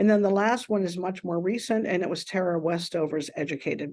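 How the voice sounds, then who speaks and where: In an American accent, a woman with a dark, mellow tone speaks at a fairly quick pace with ordinary pitch variation against a quiet background. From Pittsburgh, US. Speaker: manufacturing organization CEO. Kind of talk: interview conversation. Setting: podcast recording.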